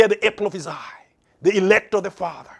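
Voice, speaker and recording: A man talks. Everything behind him is quiet. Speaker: preacher. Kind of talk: sermon. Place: studio. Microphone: lapel.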